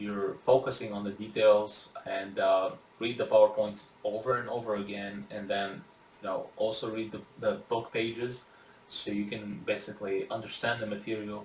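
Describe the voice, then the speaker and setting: Monotone, flat intonation from a man at a fairly low pitch and moderate pace, amid audible room echo and noticeable background noise. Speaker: biology instructor. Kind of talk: recorded lecture. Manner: halting, many fillers.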